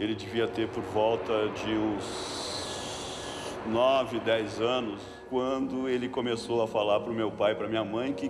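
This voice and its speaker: A man speaks very slowly at a medium pitch, his intonation fairly even. Noticeable background noise and audible room echo surround his voice. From southern Brazil, Porto Alegre. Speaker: artist's sibling. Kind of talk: documentary interview testimony.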